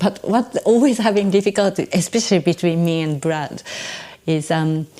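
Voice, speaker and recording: Lively intonation from a woman with a Japanese accent, fairly low in pitch, at a moderate pace over noticeable background noise. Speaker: stage adaptor and translator. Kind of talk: interview conversation. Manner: halting, non-native phrasing.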